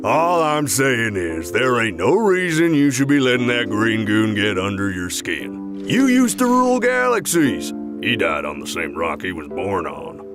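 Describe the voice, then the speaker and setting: Loud music plays in the background as a man performs a cartoonish character voice at a moderate pace. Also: medium pitch for a man. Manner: folksy, casual, gruff.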